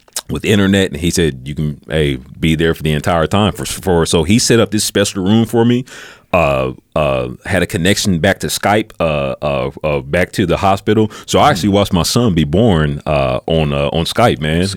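With an American accent and vocal fry, a man's very deep, low voice carries lively intonation at a moderate pace. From US Midwest, Peoria, Illinois. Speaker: Air Force reservist. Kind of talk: casual interview. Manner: relaxed, casual.

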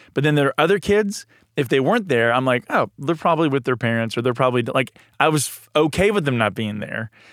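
This man talks at a very fast pace. His voice sits fairly high for a man, with lively intonation. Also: dry, close sound with no echo. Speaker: church marriage and family director, podcast host. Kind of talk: casual chat. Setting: studio.

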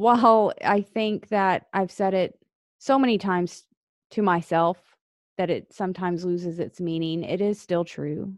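Against a quiet background, a woman with an ordinary speaking voice talks at a fairly slow pace in a medium pitch with fairly even intonation, the sound dry and close with no echo. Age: 40s. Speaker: podcast host and Marine Corps veteran. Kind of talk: solo podcast monologue.

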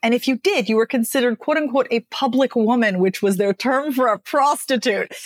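A woman's animated, high-pitched voice at a fairly quick pace, with ordinary pitch variation and very even loudness. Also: dry, close sound with no echo. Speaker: speech coach and author. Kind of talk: interview conversation. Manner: talkative, animated.

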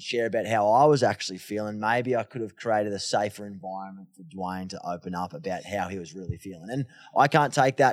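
In a very clean recording with a silent background, a man with an Australian accent speaks in an energetic tone with lively intonation. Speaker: mental health advocate and podcaster. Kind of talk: interview conversation. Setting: studio.

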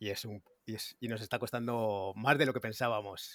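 A man with a medium pitch and fairly even intonation talks at a fairly quick pace, the sound dry and close with no echo in a very clean recording with a silent background. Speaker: blockchain developer. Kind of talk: technical discussion.

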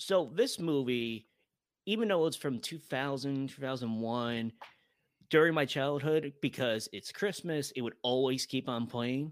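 A man with an American accent speaks in a normal speaking voice, at medium pitch and a fairly slow pace, with ordinary pitch variation. His loudness swings widely, and the recording is very clean with a silent background. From US Northeast, Albany, New York. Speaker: freelance writer. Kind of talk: casual chat.

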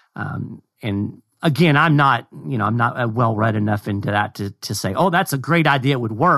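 Speaking with a Kentucky accent, a man uses a bright, sharp tone at medium pitch with lively intonation. His pace is moderate and the background is quiet. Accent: US Southern (Kentucky). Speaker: communications director of a constitutional advocacy group. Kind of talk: casual discussion.

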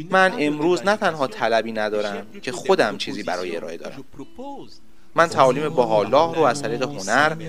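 At a fairly quick pace, the voice in a Cameroonian accent shows vocal fry and very wide pitch swings. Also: man, fairly high pitch for a man. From Cameroon, Douala. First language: Duala (speaking Persian). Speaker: musician. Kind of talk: interview.

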